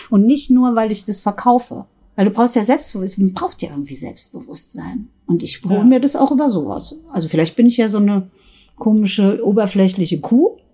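A woman's ordinary speaking voice, fairly high in pitch, with lively intonation and a fairly quick pace. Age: 50s. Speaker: sex shop owner. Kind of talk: casual chat. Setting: in a shop.

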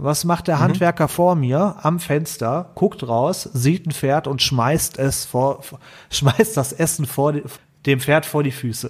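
A man's somewhat breathy, fairly high voice at a very slow pace. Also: ordinary pitch variation. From Ruhr area, Germany. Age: 30s. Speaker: IT consultant. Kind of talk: casual chat.

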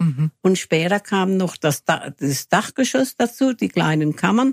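A woman with vocal fry speaks at a moderate pace, her pitch swinging very widely, in a dry, close sound with no echo. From Germany, Freiburg (Baden). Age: 80s+. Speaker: local senior resident. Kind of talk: radio interview.

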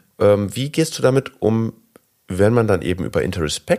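An ordinary speaking voice from a man, fairly low in pitch, with lively intonation at a moderate pace. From Germany. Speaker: podcast host. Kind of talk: interview.

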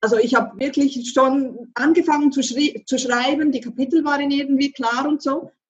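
A woman with a high pitch talks fairly slowly. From French-speaking Switzerland. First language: French (speaking German). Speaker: author and manifestation coach. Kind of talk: interview conversation.

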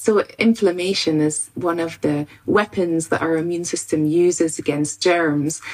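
With a Scottish accent, a woman of fairly low pitch talks at a fairly slow pace with hardly any pauses. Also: fairly even intonation. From Scotland, rural farm. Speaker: immunologist and university lecturer. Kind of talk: expert interview explanation. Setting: video call from home study.

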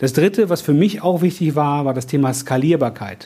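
Dark and mellow in tone, the voice moves at a moderate pace with ordinary pitch variation. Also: man. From Cologne, Germany. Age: 50s. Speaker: franchise business owner, former corporate manager. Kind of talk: interview. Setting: coworking office.

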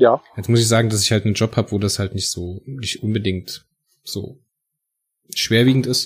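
Fairly quick, fairly even-toned speech over music in the background. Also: man. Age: 30s. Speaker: podcast host. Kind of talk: casual chat.

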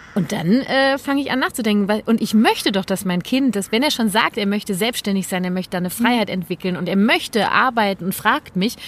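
Fairly high in pitch, a woman with a normal speaking voice speaks. Her pace is fairly quick. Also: lively intonation. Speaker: parenting coach and nonviolent communication trainer. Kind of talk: casual chat.

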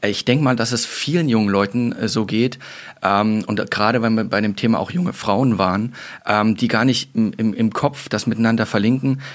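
A man speaks at a moderate pace in an unremarkable speaking voice. His pitch is medium, his loudness very even and his pitch variation ordinary. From German border region. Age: 30s. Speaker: police recruitment adviser, podcast host. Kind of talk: casual panel chat. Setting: studio.

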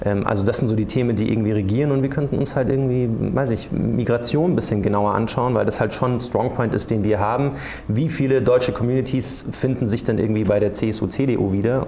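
A man at a medium pitch and fairly quick pace, fairly even intonation and very even loudness, amid noticeable background noise and audible room echo. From Munich, Bavaria. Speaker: journalist. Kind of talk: panel discussion before live audience. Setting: theatre stage with audience.

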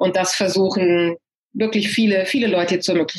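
A woman speaks in an unremarkable speaking voice. Her medium pitch shows ordinary variation. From Germany, Hanover. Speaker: real estate agent. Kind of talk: interview. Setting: video call.

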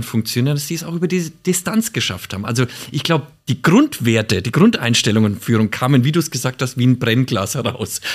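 At medium pitch, a man speaks at a very fast pace. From Nuremberg, Franconia (Bavaria). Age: 50s. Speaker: former bank executive, self-employed leadership consultant. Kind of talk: casual chat. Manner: halting, many fillers and restarts.

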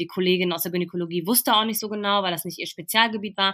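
On a very clean recording with a silent background, a woman has a bright, sharp tone at medium pitch with ordinary pitch variation. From Ruhr area, Germany (Bochum). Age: 20s. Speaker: trainee teacher, breast cancer survivor. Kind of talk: interview, personal illness story.

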